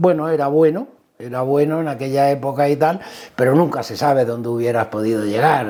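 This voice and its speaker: Noticeable background noise sits behind a man speaking at medium pitch with ordinary pitch variation. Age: 60s. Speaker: motorsport team manager. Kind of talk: interview. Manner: hesitant, with fillers.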